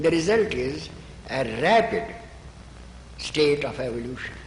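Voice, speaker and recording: With an Indian accent, a man speaks at a fairly slow pace with lively intonation. Noticeable background noise is present. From Kashmir, northern India. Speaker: spiritual author. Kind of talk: interview answer.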